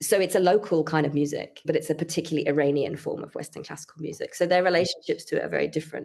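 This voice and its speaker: In a British accent, the speaker talks very fast with hardly any pauses and big swings in loudness. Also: woman, fairly low pitch for a woman. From United Kingdom. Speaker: composer and researcher. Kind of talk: interview. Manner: fluent, with frequent fillers like you know.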